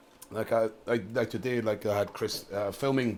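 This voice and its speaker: This is a man talking. He has a strong Scottish accent. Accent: thick Scottish. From Scotland, Dunfermline (Fife). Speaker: jiu-jitsu coach. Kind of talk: casual podcast interview. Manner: fast; animated.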